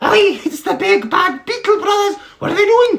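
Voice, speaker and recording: A put-on character voice, squeaky and at an extremely high pitch, moves at a moderate pace. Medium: read story. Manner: homely, chatty.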